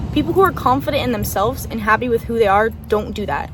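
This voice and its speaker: A woman with an American accent races along at a very fast pace, her pitch varying in an ordinary way amid noticeable background noise. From Southern California. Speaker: podcast host. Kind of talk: casual monologue.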